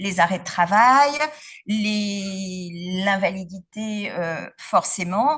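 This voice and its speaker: A woman is speaking. Her intonation is lively. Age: 50s. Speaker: patient giving testimony. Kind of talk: testimony talk at symposium. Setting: symposium with audience. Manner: hesitant, many fillers.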